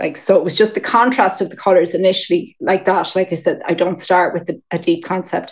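At a fairly quick pace with hardly any pauses, a woman talks at a medium pitch with fairly even intonation. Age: 40s. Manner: nervous at start, chatty.

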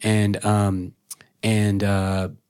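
Here a man with an American accent speaks at a fairly low pitch. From rural Oklahoma. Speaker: songwriter. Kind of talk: casual chat. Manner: halting.

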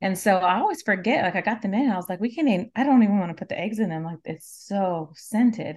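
Somewhat breathy and with an American accent, the voice races at a very fast pace with lively intonation and hardly any pauses over a quiet background. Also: woman, medium pitch for a woman. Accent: Southern US, Cajun Louisiana. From South Louisiana, Cajun. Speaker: natural beauty products maker, mother, small farmer. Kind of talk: casual interview chat.

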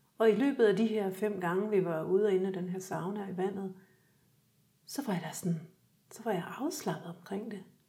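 A woman at a medium pitch speaks at a moderate pace with long, frequent pauses and big swings in loudness. Her tone is dark, mellow and somewhat breathy, and room echo is audible. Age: 50s. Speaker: graphic designer and photographer, winter swimmer. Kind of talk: casual interview chat. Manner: halting, repeats words.

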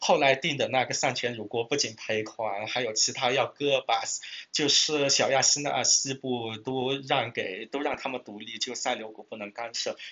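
A man talks in a plain, everyday voice at a medium pitch. His pace is moderate and his pitch variation is ordinary. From Kunming, Yunnan. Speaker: ancient history PhD candidate. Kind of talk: casual chat. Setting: in person, Kunming.

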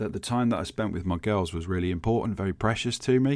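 A man speaks with a Birmingham accent on a very clean recording with a silent background. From England, Birmingham. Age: 40s. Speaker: podcast host, IT specialist. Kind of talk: solo podcast monologue.

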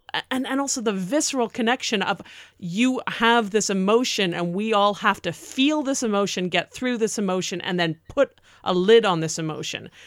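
A woman with an American accent and a normal speaking voice talks at a moderate pace. Her intonation is lively. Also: medium pitch for a woman. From not New York City. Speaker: podcast co-host. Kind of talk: casual discussion.

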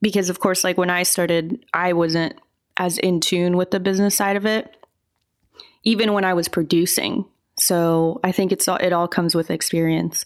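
On a very clean recording with a silent background, a woman with a plain, everyday voice talks at a moderate pace and medium pitch, with fairly even intonation and very even loudness. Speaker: online content creator and filmmaker. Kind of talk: casual interview chat.

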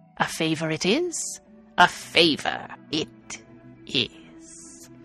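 A put-on character voice at a middle pitch and a very slow pace, with clear music in the background. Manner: sly, bargaining.

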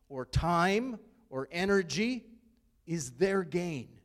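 A man's high-pitched voice at a very slow pace, with very wide pitch swings. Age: 50s. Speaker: pastor. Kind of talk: sermon.

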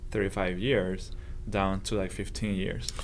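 A man with a Spanish accent and vocal fry, with audible room echo. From southern Spain. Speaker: engineering professor. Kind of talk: casual interview.

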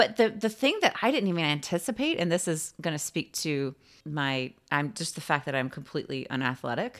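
A woman speaks at a fairly quick pace with hardly any pauses, her fairly low voice making very wide pitch swings. The recording is very clean, with a silent background. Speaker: podcast co-host, parent. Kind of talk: casual chat. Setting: home recording.

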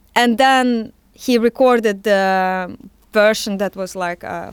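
In a Russian accent, a woman speaks at a medium pitch with fairly even intonation. The sound is dry and close, with no echo. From Siberia, Russia. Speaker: musician and fashion designer. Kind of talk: interview.

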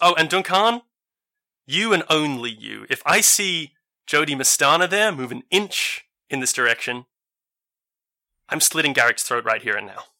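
A booming, put-on character voice from a man, fairly high-pitched, at a moderate pace with long, frequent pauses. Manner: menacing, taunting.

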